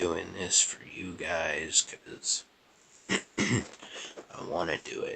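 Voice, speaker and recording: Quiet, very slow speech with long, frequent pauses over noticeable background noise. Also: man. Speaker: gaming YouTuber. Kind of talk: gameplay commentary. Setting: at grandparents' house.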